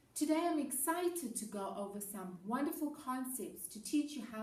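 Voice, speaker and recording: In a room with audible echo, a woman with a dark, mellow tone and fairly high pitch speaks somewhat breathily, her pitch swinging very widely. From South Africa. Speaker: educator. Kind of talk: presentation to students.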